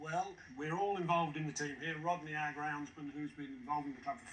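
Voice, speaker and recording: This man has a normal speaking voice at a fairly high pitch. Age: 60s. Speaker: quiz contestant, retired sales manager. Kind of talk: casual chat.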